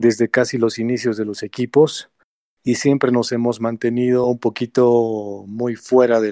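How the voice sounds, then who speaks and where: In a dry, close sound with no echo and a quiet background, a man speaks fairly slowly in a medium pitch. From Bolivia. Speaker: gamer, team leader. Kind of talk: casual chat.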